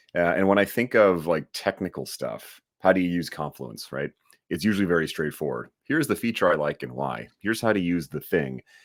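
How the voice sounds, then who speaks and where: A man with an American accent speaks in a very deep, low voice with vocal fry and lively intonation at a fairly quick pace. The sound is dry and close, with no echo. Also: very clean recording, silent background. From New York City area, summers in Vancouver. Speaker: online course instructor. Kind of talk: casual interview chat.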